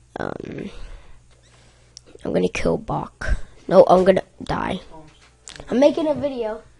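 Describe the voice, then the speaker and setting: Amid noticeable background noise, a woman speaks at a fairly slow pace with long, frequent pauses and big swings in loudness. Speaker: gaming youtuber. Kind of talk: gameplay commentary. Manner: animated.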